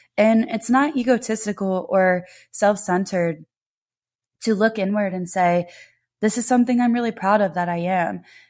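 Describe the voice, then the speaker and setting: This woman has a normal speaking voice, pitched at a medium level with ordinary pitch variation. She talks at a moderate pace on a very clean recording with a silent background. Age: 20s. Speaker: podcast host. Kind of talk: personal monologue. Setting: home, on couch.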